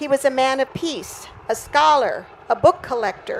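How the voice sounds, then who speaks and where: A woman's high-pitched voice at a fairly slow pace, with ordinary pitch variation, over noticeable background noise. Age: 80s+. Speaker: son or daughter of a war pilot, book foreword writer. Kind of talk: interview; reading aloud.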